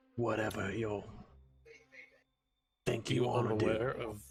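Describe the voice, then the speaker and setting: A man's put-on character voice, raspy and gruff, at medium pitch with monotone, flat intonation and a fairly slow pace. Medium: actual play. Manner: gruff, grimy.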